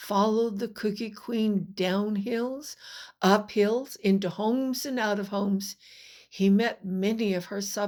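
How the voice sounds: Reading in a natural reading voice, the speaker keeps a fairly even intonation.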